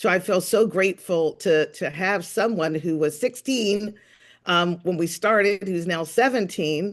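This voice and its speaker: Set against a quiet background, the speaker has a normal speaking voice. Pitch varies in an ordinary way at a fairly slow pace. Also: woman, medium pitch for a woman. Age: 60s. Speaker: podcast host and author. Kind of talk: casual chat.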